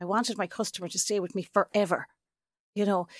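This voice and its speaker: The voice has an Irish accent. The sound is dry and close with no echo, on a very clean recording with a silent background. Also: woman. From Ireland. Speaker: sales trainer and author. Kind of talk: casual interview chat.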